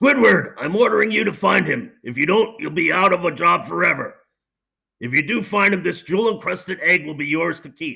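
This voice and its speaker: In a cartoonish character voice, a man speaks raspy and high-pitched at a fairly quick pace. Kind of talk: cartoon impression. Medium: read story.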